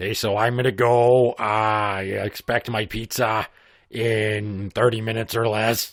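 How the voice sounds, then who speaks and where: A man's put-on character voice at medium pitch and a moderate pace, monotone and flat in intonation, in a very clean recording with a silent background. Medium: comedy sketch. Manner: deadpan, bickering.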